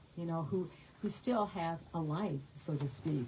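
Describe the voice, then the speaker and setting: A woman's quiet, somewhat breathy voice at a fairly low pitch, with very wide pitch swings. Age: 80s+. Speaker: author. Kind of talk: author talk at bookstore. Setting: bookstore event with audience. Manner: halting, many fillers; too quiet for the back of the room.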